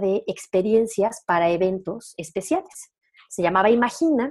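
A woman's voice has a dark, mellow tone. She speaks at a moderate pace with lively intonation. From Mexico, León, Guanajuato. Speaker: entrepreneur. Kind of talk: casual interview conversation.

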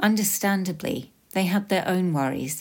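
A woman talks at a moderate pace in a British accent. The recording is very clean, with a silent background. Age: 40s. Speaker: podcast host sharing lived experience. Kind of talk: scripted personal narration.

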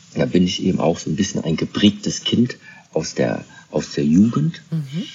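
Very wide pitch swings mark a man speaking at a very slow pace, with noticeable background noise. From Germany, Kaiserslautern (Rhineland-Palatinate). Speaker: Shaolin master and monastery leader. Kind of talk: interview conversation.

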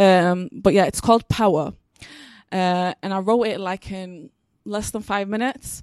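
Using an unremarkable speaking voice, a woman talks fairly slowly at a medium pitch with fairly even intonation. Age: 20s. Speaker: actor and spoken word artist. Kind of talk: live panel discussion.

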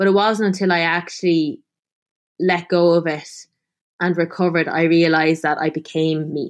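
In an Irish accent, a woman with a fairly low pitch talks at a moderate pace in a monotone, flat intonation over a quiet background. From Ireland, Tipperary. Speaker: food writer and former model. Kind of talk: interview.

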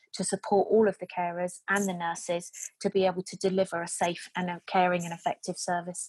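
A woman's medium-pitched voice with a British accent at a fairly quick pace, dry and close with no echo, over a quiet background. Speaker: care home manager. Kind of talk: interview. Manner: upbeat.

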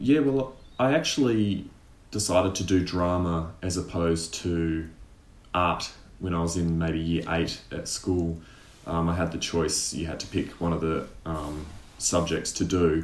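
Audible room echo surrounds a man speaking in a very deep, low pitch. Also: ordinary pitch variation, fairly slow pace. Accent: Australian. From Tasmania, Australia. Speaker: actor and sketch artist. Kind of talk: casual interview.

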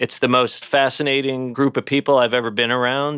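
Recorded with a dry, close sound and no echo, a man with a New York accent talks at a moderate pace. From New York City (Bay Ridge, Brooklyn). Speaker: luxury real estate broker. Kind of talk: interview.

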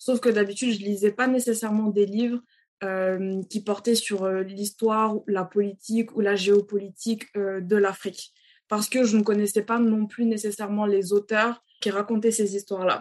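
At a moderate pace, a woman speaks at medium pitch with monotone, flat intonation. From Senegal, Dakar. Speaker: children's author. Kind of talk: interview.

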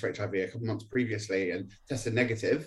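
A man talks here. There is a somewhat breathy quality to his voice. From Norwich, England. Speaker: HIV activist. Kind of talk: radio interview.

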